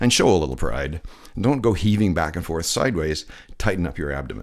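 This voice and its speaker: Very clean recording with a silent background, where a man speaks at a fairly quick pace. His voice is very deep and low, with vocal fry and very wide pitch swings. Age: 60s. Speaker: lifeguard instructor. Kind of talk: voiceover tutorial. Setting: voiceover recorded separately from pool video.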